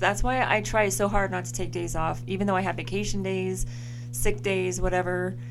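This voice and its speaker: Very wide pitch swings amid noticeable background noise and audible room echo. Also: woman. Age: 40s. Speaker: podcast co-host. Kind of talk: casual chat.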